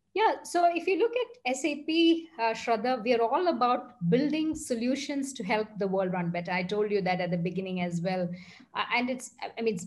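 Somewhat breathy and fairly high in pitch, a woman speaks with lively intonation. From India, Bangalore; India. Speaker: tech executive. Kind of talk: interview. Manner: fluent with many fillers. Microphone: video call.

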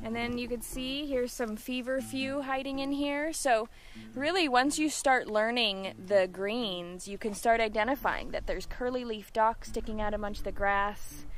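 A woman talks at a high pitch with ordinary pitch variation and hardly any pauses. Light background noise sits behind her. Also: moderate pace, dry sound with no echo. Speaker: wild plant guide. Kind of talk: tutorial. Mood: cheerful, enthusiastic. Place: open country. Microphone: phone near.

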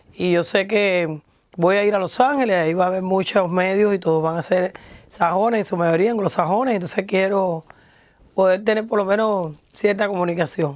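A woman talks at a moderate pace with ordinary pitch variation, the sound dry with no echo and the background quiet. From Cuba, Havana; Cuba. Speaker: singer; interviewee. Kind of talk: interview. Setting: studio. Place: studio. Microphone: lapel.

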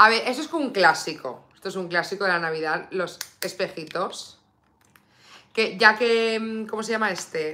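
A woman talks at a moderate pace in a bright, sharp, animated tone with lively intonation. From Spain. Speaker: beauty YouTuber. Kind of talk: live stream makeup unboxing. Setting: home live stream. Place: home room.

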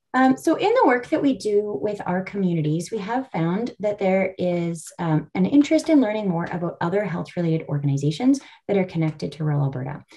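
Barely pausing, a woman with a Canadian accent talks in very wide pitch swings. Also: fairly quick pace. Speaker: rural health nonprofit staff and session moderator. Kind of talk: webinar hosting. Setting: video call. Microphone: video call.

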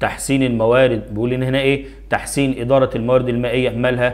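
In an Egyptian accent, a man talks at a fairly quick pace with a medium pitch. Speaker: primary school Arabic teacher. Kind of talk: tutorial. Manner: animated.

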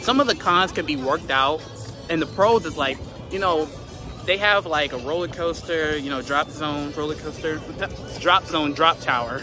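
A man speaks at a moderate pace with ordinary pitch variation, his voice dry with no echo over clear music in the background. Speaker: vlogger. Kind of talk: casual vlog chat. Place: street. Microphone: phone near.

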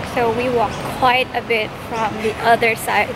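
Loud background noise surrounds a woman's voice, which has a dry sound with no echo. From Philippines. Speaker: lifestyle vlogger. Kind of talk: casual vlog narration. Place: street. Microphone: phone near.

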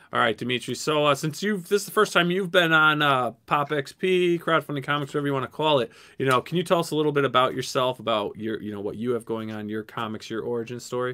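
A man talks at a very fast pace with lively intonation. His pitch sits fairly high. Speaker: live show host. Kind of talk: casual chat. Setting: video call. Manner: animated.

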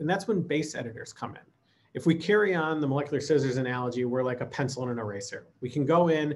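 With an American accent, a man talks at a fairly quick pace in a fairly high pitch, his lively intonation carrying a somewhat breathy quality. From US Midwest. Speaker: lab automation director. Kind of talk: conference presentation. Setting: remote recording. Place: home room.

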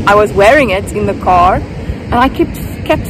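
Over noticeable background noise, a woman speaks at a fairly slow pace, the sound dry with no echo. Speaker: vlogger. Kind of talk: casual vlog chat. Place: beach. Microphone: phone near.

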